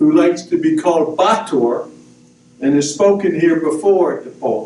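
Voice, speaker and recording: A man with an American accent talks over noticeable background noise, with audible echo in the room. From US. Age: 70s. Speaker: missionary priest. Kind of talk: prepared talk at a book discussion. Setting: university event with audience.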